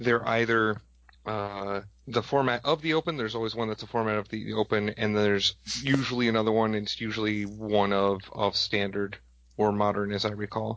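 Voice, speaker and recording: A man with an American accent, fairly low in pitch, with fairly even intonation. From Wisconsin. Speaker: tournament judge. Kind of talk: podcast interview. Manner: fast.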